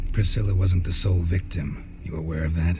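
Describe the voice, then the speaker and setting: A put-on character voice from a man, very deep and low, at a fairly quick pace over clear background noise. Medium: machinima. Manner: terse, blunt.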